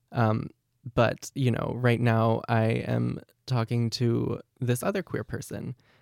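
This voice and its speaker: With an American accent and a medium pitch, a man speaks very slowly and with fairly even intonation, the sound dry and close with no echo. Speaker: university student. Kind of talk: life story interview.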